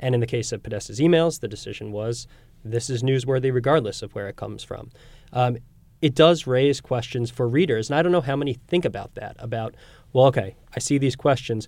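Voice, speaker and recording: In a plain, everyday voice, a man speaks at a medium pitch and a fairly quick pace with ordinary pitch variation, on a very clean recording with a silent background. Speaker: podcast host. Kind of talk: news podcast hosting and panel discussion.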